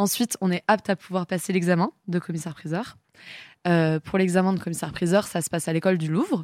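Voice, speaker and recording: A woman speaks very fast in a fairly low pitch with fairly even intonation, her voice dry and close with no echo on a very clean recording with a silent background. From Brittany, France (Rennes). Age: 20s. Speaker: auctioneer. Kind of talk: casual interview.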